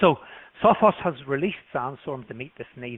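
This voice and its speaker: This man has a British accent. He talks at a fairly high pitch. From UK. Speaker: product marketing presenter for a security company. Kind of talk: webinar presentation.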